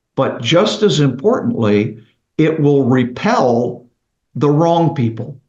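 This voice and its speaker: The voice is somewhat breathy, with lively intonation and very even loudness at a very slow pace. An echo from the room can be heard. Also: man, fairly high pitch for a man. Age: 60s. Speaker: roofing company CEO. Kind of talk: interview podcast.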